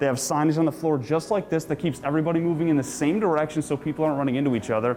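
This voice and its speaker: Noticeable background noise sits behind a man talking at a very fast pace. His pitch is fairly high and varies in an ordinary way. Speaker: sports anchor and reporter. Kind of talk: sports news anchor and live reporter delivery.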